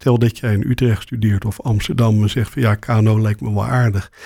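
His voice is somewhat breathy. This man speaks with a dark, mellow tone. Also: very clean recording, silent background. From Rotterdam, Netherlands. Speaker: ENT surgeon and professor. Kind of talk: interview.

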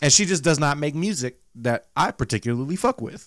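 A man at a moderate pace, with lively intonation. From US South. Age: 30s. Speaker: podcast co-host. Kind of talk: casual chat.

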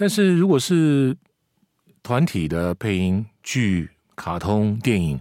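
Very slowly and with long, frequent pauses, a man speaks in a Taiwanese accent at a fairly low pitch with very wide pitch swings, in a very clean recording with a silent background and a dry, close sound with no echo. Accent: Taiwanese Mandarin. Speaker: veteran voice actor. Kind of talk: casual chat.

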